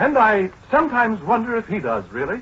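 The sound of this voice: A man uses a put-on character voice, high in pitch with big pitch swings. It has a husky, rough edge and a fairly bright tone. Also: fairly quick pace.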